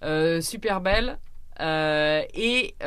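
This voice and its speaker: The speaker is a woman. Her pitch is fairly low. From France, Orléans. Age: 30s. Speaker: traveller and adventurer. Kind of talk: radio interview. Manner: hesitant, many fillers.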